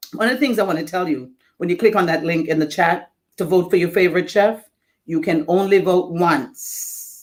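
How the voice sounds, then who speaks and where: The speaker talks at a moderate pace in a Jamaican accent. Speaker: event host. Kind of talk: live event hosting. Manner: animated.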